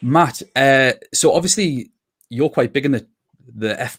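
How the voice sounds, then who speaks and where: A man speaks with a Geordie accent at a fairly high pitch. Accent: Geordie (Newcastle). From northern England, Newcastle. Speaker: podcast host. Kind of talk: casual chat. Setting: livestream.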